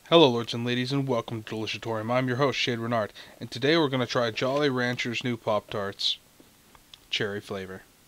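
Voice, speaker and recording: A man speaks fairly quickly with fairly even intonation, and the sound is dry with no echo. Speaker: food review host. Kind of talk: casual review vlog chat. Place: home room.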